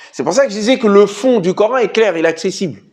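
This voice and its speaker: Moderate pace, high pitch and lively intonation from a man. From Senegal. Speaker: Islamic studies teacher and author. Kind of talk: Q&A talk about his book. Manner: hesitant fillers, conversational.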